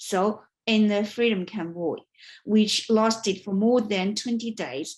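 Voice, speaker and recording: A woman with a Chinese accent speaks at a very slow pace. Her pitch variation is ordinary, against a quiet background. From China. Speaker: writer and vlogger. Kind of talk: prepared speech. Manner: halting.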